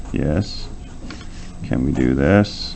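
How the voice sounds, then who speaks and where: Very slowly, a man speaks in a very deep, low pitch with ordinary pitch variation. The recording has audible room echo and noticeable background noise. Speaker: university lecturer. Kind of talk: lecture. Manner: loud.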